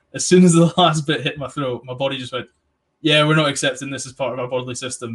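A somewhat breathy man talks at a very fast pace with fairly even intonation. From England. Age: 20s. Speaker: podcast host. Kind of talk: casual chat.

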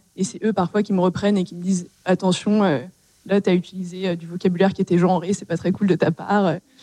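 A woman's dark, mellow voice with monotone, flat intonation at a very fast pace, in a dry, close sound with no echo. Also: medium pitch for a woman. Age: 20s. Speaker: startup CTO. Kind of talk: panel discussion. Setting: stage with audience.

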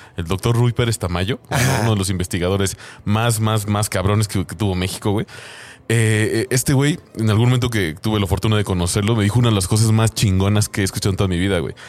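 Noticeable background noise sits behind a man with a fairly low pitch. He talks at a very fast pace with fairly even intonation. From Mexico, San Luis Potosí. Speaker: podcast guest. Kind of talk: casual chat.

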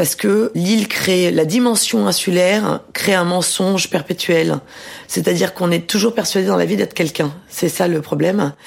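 A woman with vocal fry speaks at a moderate pace, her pitch varying in an ordinary way and her loudness staying very even. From southern France, Mediterranean island (Var). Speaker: novelist and journalist. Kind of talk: interview.

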